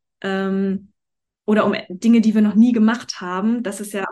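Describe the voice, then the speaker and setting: The speech moves at a moderate pace. Its intonation is flat and monotone. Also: woman. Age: 40s. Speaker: life and business coach, actress. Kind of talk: casual interview chat.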